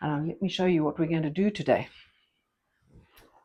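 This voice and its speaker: A somewhat breathy woman's voice, fairly low in pitch, with a dark, mellow tone and a fairly quick pace. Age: 70s. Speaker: fitness instructor for seniors. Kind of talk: exercise class instruction. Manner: encouraging, upbeat.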